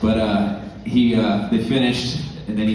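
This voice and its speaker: A man speaks in a Southern California accent. Noticeable background noise and audible room echo are present. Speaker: musician's son presenting an award. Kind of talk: award presentation speech.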